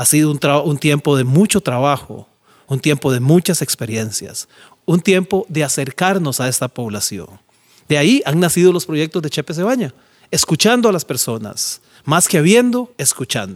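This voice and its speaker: Someone with a Costa Rican accent speaks at a moderate pace with very wide pitch swings and a dry, close sound with no echo. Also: man, fairly high pitch for a man. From Costa Rica, San José (Pavas). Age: 50s. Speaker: charity founder. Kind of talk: monologue.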